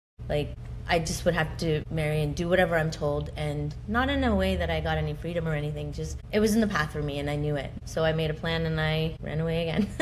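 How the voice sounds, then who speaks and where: A very fast, hardly paused delivery with a Canadian accent and audible room echo. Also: woman. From Punjab, India, then suburban Canada. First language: Punjabi. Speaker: podcast host interviewed as guest. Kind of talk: interview testimony. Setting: live recording with audience.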